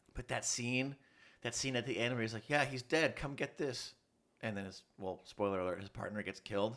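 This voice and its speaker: This speaker has an American accent and a plain, everyday voice. The pace is fairly quick. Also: man, medium pitch for a man, ordinary pitch variation. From US. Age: 30s. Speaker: student. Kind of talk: casual chat.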